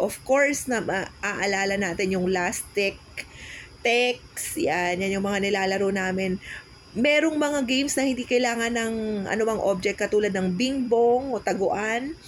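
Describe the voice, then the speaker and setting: Speaking fairly slowly, a woman with an ordinary speaking voice keeps a fairly high pitch and ordinary pitch variation. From Philippines, Cavite. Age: 40s. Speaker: podcast co-host. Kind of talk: casual chat.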